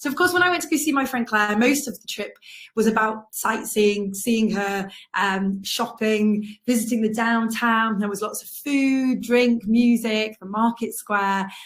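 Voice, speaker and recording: A woman talks at a fairly slow pace in a somewhat breathy, fairly high voice. Her pitch variation is ordinary. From North Wales. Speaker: travel writer. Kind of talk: illustrated travel talk. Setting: online live event.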